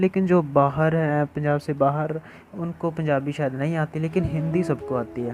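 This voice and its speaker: A man speaks with a slight Punjabi accent in a fairly high voice. His intonation is flat and monotone. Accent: Punjabi touch in Hindi. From Punjab, India. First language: Punjabi (speaking Hindi). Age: young. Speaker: pencil artist and art teacher. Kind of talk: tutorial. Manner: hesitant, frequent fillers.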